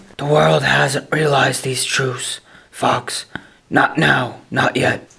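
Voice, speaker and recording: Putting on a character voice, a man speaks raspy and at medium pitch, at a very slow pace. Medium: short film. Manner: grave, solemn.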